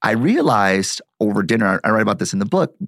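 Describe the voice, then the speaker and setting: Recorded dry and close with no echo, a man speaks with a Midwestern American accent. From Detroit, US Midwest. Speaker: marketing professor and author. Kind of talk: interview conversation.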